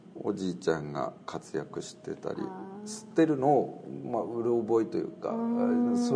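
A man talking at a fairly slow pace over noticeable background noise. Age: 30s. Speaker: Buddhist priest. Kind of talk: casual interview.

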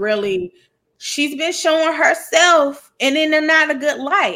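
With a Southern US accent, a woman speaks in a raised, projected voice at a fairly slow pace, her animated tone marked by very wide pitch swings. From US South. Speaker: podcast host. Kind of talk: casual chat.

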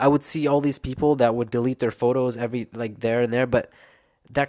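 A man in an ordinary speaking voice talks at a medium pitch with fairly even intonation, on a very clean recording with a silent background and a dry, close sound with no echo. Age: 20s. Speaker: youtuber. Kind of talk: casual monologue. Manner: casual, with many fillers.

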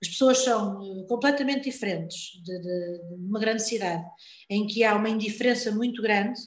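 A woman's somewhat breathy, fairly high voice at a moderate pace, with ordinary pitch variation and audible room echo. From Portugal, born in Lisbon. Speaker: health worker. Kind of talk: casual interview. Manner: repetitive, halting.

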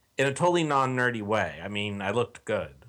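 A man with an American accent and medium pitch. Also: very clean recording, silent background. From Texas. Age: 40s. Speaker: online forum commenter. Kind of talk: casual interview.

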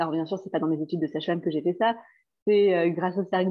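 The speaker is a woman at medium pitch. Her intonation is fairly even. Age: 30s. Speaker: therapist and former midwife. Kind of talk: casual interview. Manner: halting, with many fillers.

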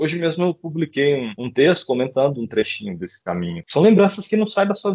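A man is speaking. His pitch swings very widely up and down. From Brazil, Goiás. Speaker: poet and writer. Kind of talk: casual interview chat.

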